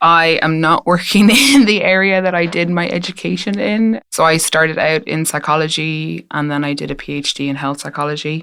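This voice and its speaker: There's an American accent in this woman's speech. Her pitch rises and falls in an ordinary way. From west of Ireland. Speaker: postdoctoral researcher. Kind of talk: casual interview. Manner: hesitant, many ums.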